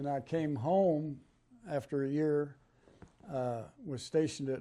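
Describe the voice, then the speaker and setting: The voice has a dark, mellow tone, moving at a fairly slow pace with ordinary pitch variation. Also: man. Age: 80s+. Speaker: war veteran. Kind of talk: interview storytelling. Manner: halting.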